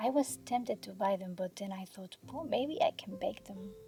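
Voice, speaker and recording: Over music in the background, the speaker is soft-spoken. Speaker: home baker. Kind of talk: cooking tutorial narration.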